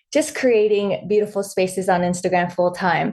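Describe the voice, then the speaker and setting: With a West Coast accent, a woman speaks at a moderate pace. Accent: general American (West Coast). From born in Vietnam, raised in Los Angeles. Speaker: author and content creator. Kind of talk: casual interview.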